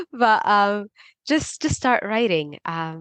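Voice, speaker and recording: Speaking at a fairly slow pace with a non-native accent, a woman shows ordinary pitch variation in a dry, close sound with no echo. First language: not English. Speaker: PhD researcher and Substack writer. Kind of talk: podcast interview.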